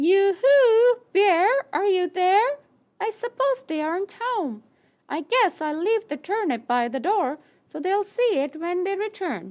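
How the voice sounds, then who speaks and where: In a cartoonish character voice, a female-sounding speaker talks at a fairly slow pace with an extremely high pitch. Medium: puppet.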